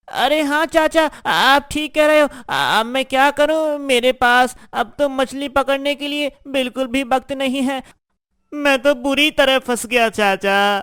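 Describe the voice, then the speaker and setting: A cartoonish character voice with a high pitch comes through at a moderate pace on a very clean recording with a silent background. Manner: earnest, naive.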